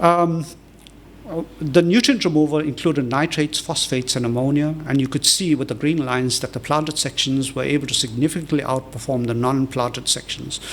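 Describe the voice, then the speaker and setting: Fairly quick pace from a man with a fairly high pitch and fairly even intonation. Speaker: professor. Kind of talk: lecture. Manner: many fillers (um, uh); fast.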